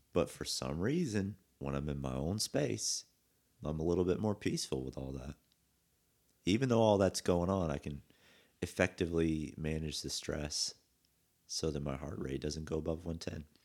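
A man with a very deep, low pitch and a relaxed tone, at a moderate pace with long, frequent pauses. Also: ordinary pitch variation. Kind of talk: casual chat. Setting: studio. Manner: casual, relaxed.

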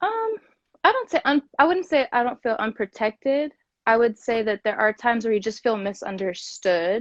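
Here a woman has an ordinary speaking voice with a fairly high pitch. She talks at a moderate pace, her intonation lively. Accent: American. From US Midwest, Kansas City. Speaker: podcast host and corporate professional. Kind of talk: casual interview. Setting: social media live video.

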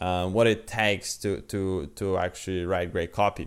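A man with a Polish accent speaks at a moderate pace in a fairly low pitch, on a very clean recording with a silent background. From Poland. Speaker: podcast host, copywriter. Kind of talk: solo talk, advice monologue. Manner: halting, many fillers.

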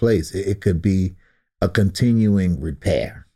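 At a fairly slow pace, a man speaks in a very deep, low pitch with ordinary pitch variation, his dark, mellow tone somewhat breathy, in a very clean recording with a silent background. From Baltimore, Maryland (West Baltimore). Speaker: drummer and singer-songwriter. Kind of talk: casual interview chat. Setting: studio.

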